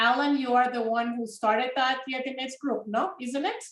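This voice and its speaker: Speaking at a moderate pace with a Spanish accent, a woman uses a high pitch and fairly even intonation. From Peru. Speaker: genealogy project volunteer. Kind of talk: casual chat.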